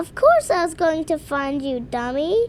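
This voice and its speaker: Over clear background noise, a woman puts on a character voice pitched extremely high for a woman. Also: moderate pace. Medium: audio drama. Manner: sarcastic, blunt.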